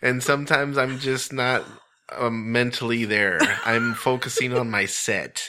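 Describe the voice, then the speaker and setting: A man talks at a fairly slow pace and a medium pitch. His intonation is fairly even and his loudness very even. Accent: American. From US-Mexico border, El Paso, Texas. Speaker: stand-up comedian and show host. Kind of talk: casual interview. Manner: halting, many fillers.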